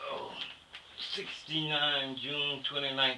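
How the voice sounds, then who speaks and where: A man's fairly high voice at a very slow pace, with noticeable background noise. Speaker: war veteran. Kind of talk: interview answer. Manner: casual, conversational.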